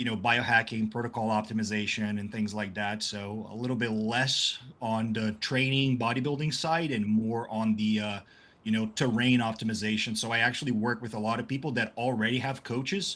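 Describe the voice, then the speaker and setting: A man with a slight non-native accent speaks at medium pitch. His pace is fairly quick. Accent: slight foreign. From southern Brazil. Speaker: health and performance coach. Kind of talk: casual interview chat.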